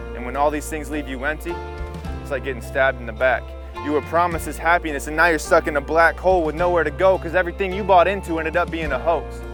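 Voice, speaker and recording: Very fast speech over music in the background. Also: man. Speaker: spoken word poet. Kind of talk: spoken word poetry performance.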